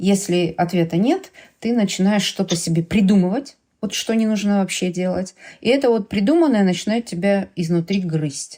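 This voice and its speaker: The speech moves at a moderate pace with long, frequent pauses. The intonation is lively and the tone dark and mellow. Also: woman. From Ukraine. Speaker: mother of an LGBT son, parent activist. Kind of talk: podcast conversation.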